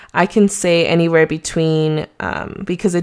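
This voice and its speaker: A woman with a Mexican accent speaks at a moderate pace in a fairly low voice with monotone, flat intonation. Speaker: real estate agent podcaster. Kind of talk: solo podcast monologue. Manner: casual, hesitant with many fillers.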